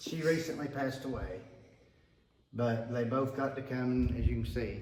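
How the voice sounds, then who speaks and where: The speaker keeps a moderate pace with ordinary pitch variation. Audible room echo surrounds the voice. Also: man, medium pitch for a man. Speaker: building owner and former student. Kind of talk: guided tour.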